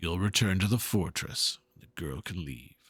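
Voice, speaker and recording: In a put-on character voice, a man speaks at a moderate pace with a very deep, low pitch and lively intonation. The recording is very clean, with a silent background. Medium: game stream. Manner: stern, contemptuous.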